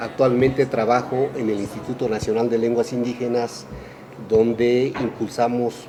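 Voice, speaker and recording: A man with a central Mexican accent, medium pitch, moderate pace, monotone, flat intonation and noticeable background noise. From Mexico, Mazahua community. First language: Mazahua (speaking Spanish). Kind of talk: radio interview.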